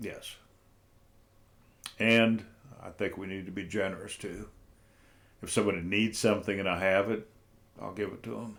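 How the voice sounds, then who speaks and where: A man with an American accent at a fairly low pitch and moderate pace, monotone and flat, with big swings in loudness and long, frequent pauses. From North Central Ohio. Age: 70s. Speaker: interview guest. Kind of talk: casual interview.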